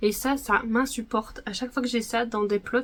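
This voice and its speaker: Her pitch is high and her pace fairly quick. The woman's intonation stays fairly even. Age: 20s. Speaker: knitting podcaster. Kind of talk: casual chat. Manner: hesitant, many fillers.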